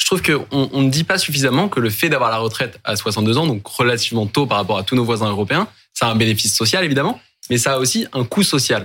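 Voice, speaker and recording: Bright and sharp in tone, a man speaks with lively intonation. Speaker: panel commentator. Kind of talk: interview.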